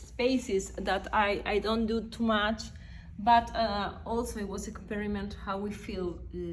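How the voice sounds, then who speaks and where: A woman speaks with a Spanish accent at a fairly slow pace. Her intonation is flat and monotone. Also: medium pitch for a woman. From Uruguay. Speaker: visiting artist. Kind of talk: gallery walkthrough interview. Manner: halting, many fillers.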